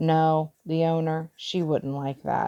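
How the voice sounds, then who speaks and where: This put-on character voice sits at a middle pitch. It mumbles along at a fairly slow pace. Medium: read story. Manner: hesitant, mumbling.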